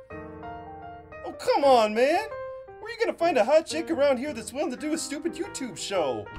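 A man performs a cartoonish character voice at a moderate pace. Clear music plays in the background. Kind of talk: puppet comedy sketch dialogue. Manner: sarcastic, wary.

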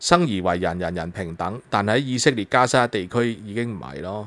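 Very clean, silent-background audio of a man's moderate pace. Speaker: political commentary host. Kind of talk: solo news commentary. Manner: animated, with many filler sounds.

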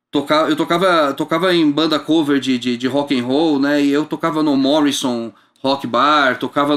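Moderate pace over a quiet background. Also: man. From Brazil. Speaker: bass player and music entrepreneur; guest. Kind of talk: casual interview. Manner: halting with repeated words. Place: studio. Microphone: studio mic.

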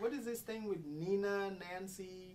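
A woman's voice sits at a medium pitch, with audible room echo around it. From Cameroon. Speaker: interviewer. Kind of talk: interview.

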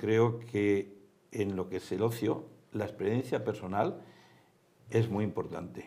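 Pitched fairly low, this male voice carries a dark, mellow tone with ordinary pitch variation. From Spain. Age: 70s. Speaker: theme park executive; guest. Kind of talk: interview. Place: studio. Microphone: lapel.

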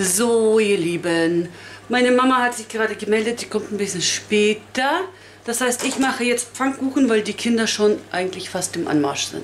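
Light background noise sits behind the recording. A woman speaks at a moderate pace. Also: fairly high pitch for a woman, lively intonation. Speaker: family vlogger. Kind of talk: casual vlog narration. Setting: at home. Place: kitchen.

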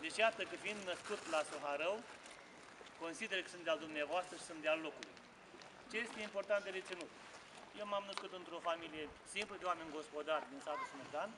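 A man with a high voice speaks at a fairly quick clip, with ordinary pitch variation, long and frequent pauses, and noticeable background noise. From Romania, Botoșani county (Moldavia); Romania. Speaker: parliamentary candidate; candidate. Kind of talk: campaign speech. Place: street. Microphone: camera far.

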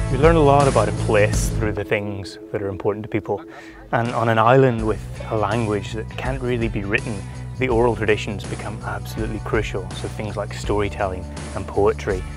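Over music in the background, a man with a fairly low pitch talks at a fairly quick pace, his pitch swinging very widely. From Northern Ireland. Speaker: TV presenter. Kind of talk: documentary presenting.

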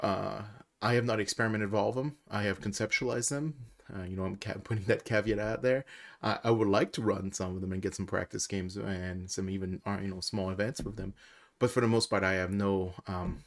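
This man has an unremarkable speaking voice, fairly low in pitch and fairly even in intonation. He talks at a fairly quick pace over a quiet background. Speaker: tabletop game content creator. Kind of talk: casual commentary.

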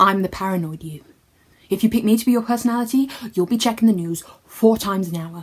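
This woman sounds somewhat breathy. She talks at a fairly quick pace. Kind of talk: comic character monologue. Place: home room. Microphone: phone near.

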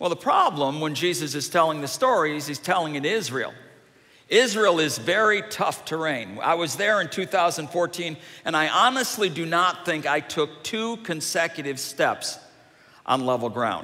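A man keeps a moderate pace, his intonation lively throughout. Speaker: preacher. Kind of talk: sermon. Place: church. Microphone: headset.

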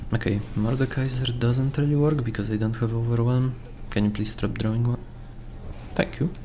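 In a normal speaking voice, a man talks at a moderate pace and a medium pitch. His loudness is very even and his intonation fairly even. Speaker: gaming YouTuber. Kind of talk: gameplay commentary. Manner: casual, relaxed.

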